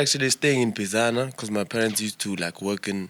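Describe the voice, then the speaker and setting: A man speaks at a fairly quick pace with a bright, sharp tone and medium pitch, on a very clean recording with a silent background. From South Africa, Eastern Cape (Flagstaff, Mpondo area). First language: Xhosa. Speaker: musician. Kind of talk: casual interview chat. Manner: halting, filler-heavy.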